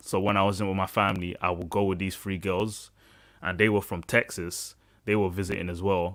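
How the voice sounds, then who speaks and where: A man with a British accent, fairly low in pitch and animated in tone, at a fairly quick pace on a very clean recording with a silent background. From UK. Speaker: podcast host. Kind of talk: casual chat.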